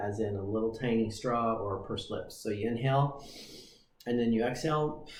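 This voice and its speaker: Somewhat breathy and relaxed in tone, a man at a medium pitch speaks at a fairly quick pace amid audible room echo. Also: fairly even intonation. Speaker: breathing coach. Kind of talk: tutorial. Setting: livestream.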